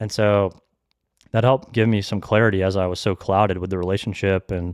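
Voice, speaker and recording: Over a quiet background, a man with an American accent and a fairly low pitch speaks in a monotone, flat way at a fairly quick pace, the sound dry and close with no echo. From US South, Atlanta area, Georgia. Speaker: podcast guest sharing faith story. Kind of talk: testimony.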